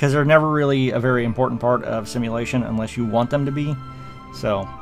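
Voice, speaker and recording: Music sounds behind the speech. The words come fairly quickly, with ordinary pitch variation. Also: man. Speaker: video game commentator. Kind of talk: gameplay commentary. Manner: fast; casual with many fillers.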